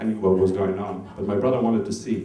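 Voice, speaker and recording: A man's fairly low voice with a non-native accent and fairly even intonation, at a moderate pace, amid audible room echo and noticeable background noise. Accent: foreign. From Norway (Oslo), Albanian family. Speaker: comedian. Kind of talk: stand-up. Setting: stage with audience.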